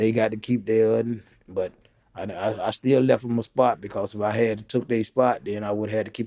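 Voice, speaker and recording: Dark and mellow in tone, a man with an American accent and a fairly low pitch speaks at a moderate pace in monotone, flat intonation. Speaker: former prisoner, community organizer. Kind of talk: interview, life story.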